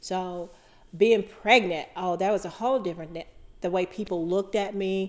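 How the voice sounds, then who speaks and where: A woman with an American accent speaks in a plain, everyday voice at a medium pitch. Her pace is moderate and her intonation fairly even. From US South. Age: 60s. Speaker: podcast co-host sharing life story. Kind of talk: casual conversation, personal testimony.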